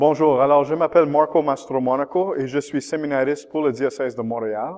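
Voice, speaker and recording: A man's fairly high voice with an English accent, a fairly quick pace and ordinary pitch variation. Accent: English-speaker accent in French. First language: English (speaking French). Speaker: seminarian, theology student. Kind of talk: testimony. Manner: halting.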